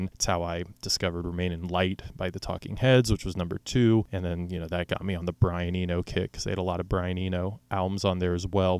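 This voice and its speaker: The recording is very clean, with a silent background. A man with an American accent speaks in a very deep, low voice. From Oklahoma City, US. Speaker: podcast host, music enthusiast. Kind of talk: solo monologue about music playlist.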